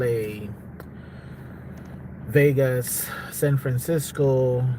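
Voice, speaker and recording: A man speaks at a medium pitch with ordinary pitch variation. There is noticeable background noise behind him. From South Africa. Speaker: live streamer. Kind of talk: casual live stream chat. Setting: live stream at home.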